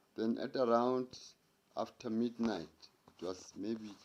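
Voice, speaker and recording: A man is speaking. He has a South African accent. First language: Sotho-Tswana language. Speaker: storyteller. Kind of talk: casual storytelling.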